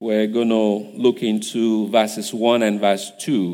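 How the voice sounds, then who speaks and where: A man with a Nigerian accent speaks in a medium-pitched, dark, mellow tone. His intonation is monotone and flat, on a very clean recording with a silent background. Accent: Nigerian (Yoruba) English. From Nigeria (Igbajo, Osun State). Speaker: guest preacher. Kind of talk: sermon. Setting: church service.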